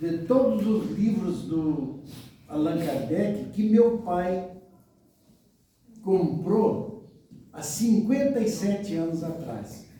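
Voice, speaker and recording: With audible room echo, a man speaks very slowly in a high pitch with ordinary pitch variation. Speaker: spiritist lecturer. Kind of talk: lecture.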